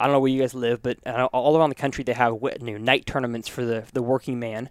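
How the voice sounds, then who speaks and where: A plain, everyday voice from a man at a medium pitch, fairly even intonation, in a very clean recording with a silent background and a dry, close sound with no echo. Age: 20s. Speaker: podcast host. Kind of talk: casual interview. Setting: company headquarters studio.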